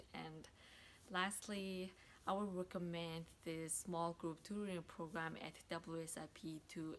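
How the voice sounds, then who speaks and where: A woman speaks with a non-native accent at a fairly low pitch. Her intonation is monotone and flat. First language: not English. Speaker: graduate student. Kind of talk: testimony.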